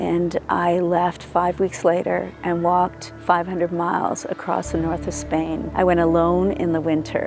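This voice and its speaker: A woman talks fairly slowly while music sounds behind her. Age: 60s. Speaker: barefoot walking advocate. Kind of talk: interview answer.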